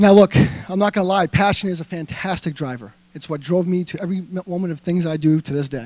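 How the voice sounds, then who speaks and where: Very fast and high-pitched, a man talks in a Boston accent with ordinary pitch variation. The recording is very clean with a silent background. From Massachusetts (Avon, near Boston). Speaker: entrepreneur and web brand developer. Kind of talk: motivational talk. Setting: stage with audience. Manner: animated; halting.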